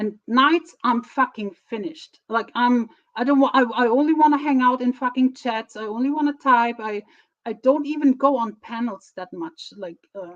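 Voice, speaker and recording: With a German accent, a woman talks in a high pitch, her loudness swinging widely. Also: ordinary pitch variation, moderate pace. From Germany. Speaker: streamer. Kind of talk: casual live stream talk. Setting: live stream on camera. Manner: halting.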